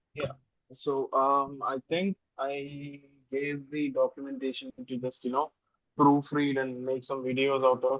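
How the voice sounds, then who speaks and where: Speaking at a fairly slow pace, a man with a non-native accent holds a fairly high pitch in a monotone, flat intonation. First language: not English. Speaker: software developer. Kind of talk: casual technical meeting chat. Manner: hesitant, many fillers.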